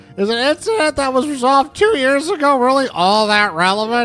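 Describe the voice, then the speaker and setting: A put-on, high-pitched character voice rattles along at a fairly quick pace over faint background music. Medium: game stream. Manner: hesitant, deferential.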